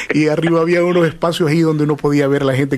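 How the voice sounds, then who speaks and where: Very fast speech from a man, with noticeable background noise. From El Salvador, San Salvador. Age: 50s. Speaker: interviewer. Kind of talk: interview.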